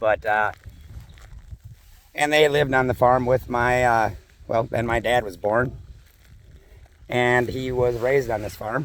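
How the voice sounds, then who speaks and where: Long, frequent pauses break up this man's fairly slow speech in an Upper Midwest accent. His pitch is medium and his intonation fairly even. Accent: Upper Midwest (Minnesota). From US Midwest, western Minnesota. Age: 50s. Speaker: farmer and vlogger. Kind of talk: casual vlog walk-and-talk. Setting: outdoors on farm walking dog. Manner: casual, rambling with fillers.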